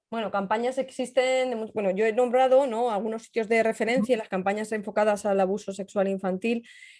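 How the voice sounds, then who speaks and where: A woman talks at a fairly quick pace with hardly any pauses, her pitch fairly high. Her intonation stays fairly even against a quiet background. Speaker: cybersecurity journalist and trainer. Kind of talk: webinar talk and Q&A. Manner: fast.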